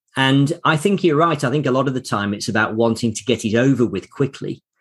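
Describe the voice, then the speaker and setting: A man talks at a moderate pace in an ordinary speaking voice. The background is quiet. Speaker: podcast host and communication coach. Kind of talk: interview-style podcast with scripted narration.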